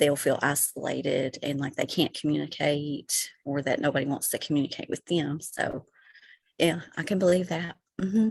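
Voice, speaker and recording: A woman with a Kentucky accent speaks in a very deep, low pitch with ordinary pitch variation. Her pace is moderate. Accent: unique accent, Kentucky. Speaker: stand-up comedian and writer. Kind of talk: casual interview. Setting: podcast recording.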